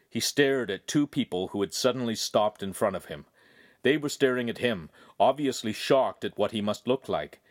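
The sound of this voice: This is an unforced reading voice that moves through ordinary pitch variation.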